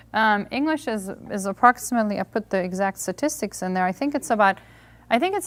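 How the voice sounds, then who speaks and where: In a very clean recording with a silent background, a woman with a Hungarian accent talks very fast at a medium pitch with lively intonation. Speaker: homeschool reading workshop presenter. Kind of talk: lecture.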